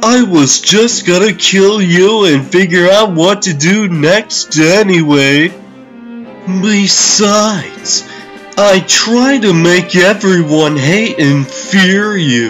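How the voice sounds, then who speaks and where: A man's put-on character voice, high-pitched and very slow, over clear background music. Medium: dub. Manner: mocking, manic.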